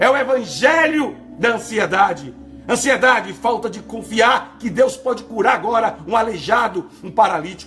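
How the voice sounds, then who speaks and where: Over music in the background, a man speaks at an extremely high pitch with ordinary pitch variation. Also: moderate pace. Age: 50s. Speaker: pastor. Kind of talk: sermon. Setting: broadcast program. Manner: emphatic, repetitive preaching.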